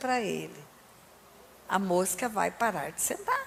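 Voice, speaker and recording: A woman speaks in an animated tone. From Brazil. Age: 60s. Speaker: pastor. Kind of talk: sermon.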